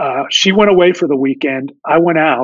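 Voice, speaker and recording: A man with an ordinary speaking voice and an American accent talks at a moderate pace. His pitch is fairly high, with ordinary variation. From Pittsburgh, Pennsylvania. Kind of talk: interview, storytelling.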